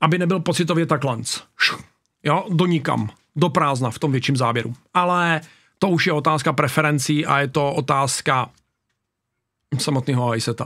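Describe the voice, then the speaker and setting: A man's bright, sharp tone sits at a fairly high pitch. He leaves long, frequent pauses. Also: ordinary pitch variation, moderate pace, quiet background. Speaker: YouTuber reacting to videos. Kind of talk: casual reaction video commentary. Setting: home studio. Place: home room. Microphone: studio mic.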